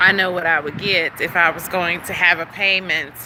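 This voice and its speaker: Medium-pitched speech from a woman at a moderate pace, with noticeable background noise. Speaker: vlogger. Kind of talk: casual vlog monologue. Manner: animated, conversational.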